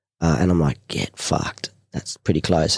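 The recording is very clean, with a silent background and a dry, close sound that has no echo. The speaker uses an Australian accent at a moderate pace with fairly even intonation. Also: man. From Newcastle, New South Wales, Australia. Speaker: war veteran. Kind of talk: casual chat. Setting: studio.

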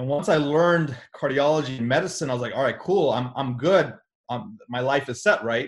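Somewhat breathy, energetic delivery at a fairly quick pace with ordinary pitch variation. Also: man, fairly high pitch for a man, quiet background. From US (born in India, moved at age two). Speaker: cardiologist and real estate investor. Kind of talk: casual interview.

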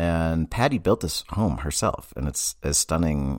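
Vocal fry marks a man with an American accent talking at a moderate pace in a very clean recording with a silent background. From Massachusetts. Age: 40s. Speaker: therapist podcast host. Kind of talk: casual monologue.

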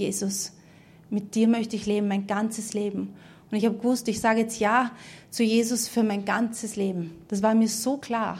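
A woman speaks at a moderate pace in a fairly high, somewhat breathy voice. Her intonation stays monotone and flat, with audible room echo. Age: 30s. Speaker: preacher. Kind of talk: sermon testimony. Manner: halting.

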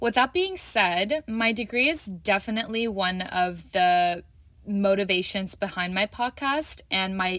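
Bright and sharp in tone, a woman with a Canadian accent speaks fairly slowly with ordinary pitch variation. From Canada, Toronto. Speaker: podcast host and teacher. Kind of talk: solo podcast introduction.

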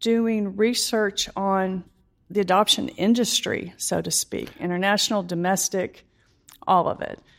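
At a fairly slow pace, a woman speaks in a plain, everyday voice with ordinary pitch variation. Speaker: insurance company employee and adoptive mother. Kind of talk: interview testimony.

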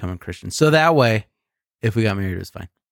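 Medium-pitched male voice, dry and close with no echo, on a very clean recording with a silent background. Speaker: podcast host. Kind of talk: casual chat. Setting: drinking beer while recording. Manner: joking, laughs a lot.

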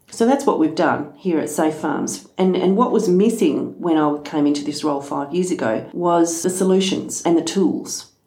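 A woman with an Australian accent, fairly low in pitch, at a moderate pace with hardly any pauses. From Western Australia, rural wheatbelt. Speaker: farm safety organisation executive officer. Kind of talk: podcast interview.

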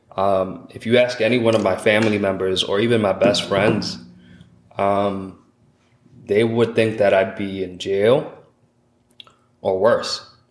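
Speaking fairly slowly with long, frequent pauses, a man with an American accent holds a fairly low, flat, monotone pitch in a room with audible echo. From Lawrence, Massachusetts. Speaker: entrepreneur. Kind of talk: casual interview.

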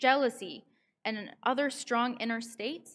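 With a Canadian accent, a woman with an unremarkable speaking voice and a fairly high pitch talks at a fairly slow pace with fairly even intonation. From Canada, Vancouver. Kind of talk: sermon. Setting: synagogue service.

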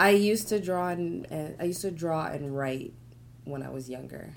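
A woman talks at a moderate pace with lively intonation and vocal fry. The room echo is audible. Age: 30s. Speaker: painter and artist. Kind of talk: casual chat. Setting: studio.

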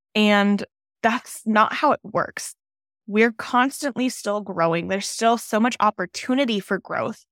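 Speaking at a fairly slow pace, a woman with a fairly high pitch and ordinary pitch variation is heard in a dry, close sound with no echo on a very clean recording with a silent background. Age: 20s. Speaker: podcast host and mindset coach for moms. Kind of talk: solo podcast monologue. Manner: casual, conversational.

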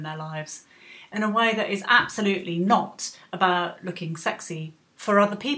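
A woman talks at a moderate pace with a medium pitch and ordinary pitch variation. It is an unremarkable speaking voice. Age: 50s. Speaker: podcast host. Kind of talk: scripted narration.

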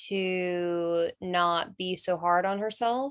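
A woman's fairly low voice with an American accent, against a quiet background. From North Carolina. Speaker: rock singer. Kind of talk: interview.

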